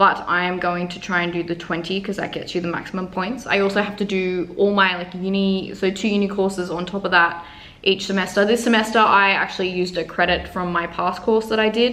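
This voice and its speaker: With hardly any pauses, a woman with an Australian accent talks at a fairly quick pace and medium pitch, her intonation monotone and flat, over noticeable background noise. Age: 20s. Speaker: university nutrition student. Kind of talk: casual talk to camera. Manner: relaxed, chatty.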